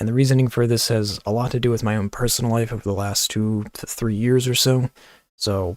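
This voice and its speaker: A man speaks quietly and fairly quickly with fairly even intonation. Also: dry, close sound with no echo. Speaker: gaming youtuber. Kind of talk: channel update vlog. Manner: quiet, kept low; casual, filler-heavy.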